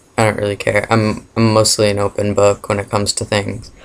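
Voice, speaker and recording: A man at a fairly low pitch, moderate pace and monotone, flat intonation. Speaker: vlogger. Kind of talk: casual Q&A vlog. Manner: hesitant, many fillers.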